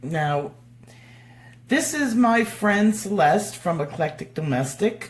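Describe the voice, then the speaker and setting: Very slowly and somewhat breathily, a woman speaks with an American accent and ordinary pitch variation. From New York. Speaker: coloring tutorial YouTuber. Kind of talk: tutorial. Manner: casual, hesitant with many fillers.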